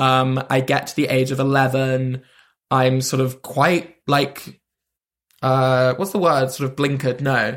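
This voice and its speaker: A man with a London accent speaks at a medium pitch in a flat monotone. His pace is fairly slow and his loudness stays very even. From London, England. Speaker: comedian. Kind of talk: casual chat.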